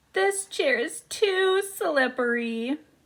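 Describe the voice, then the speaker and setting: A woman's put-on character voice, extremely high in pitch, with very wide pitch swings. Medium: read story.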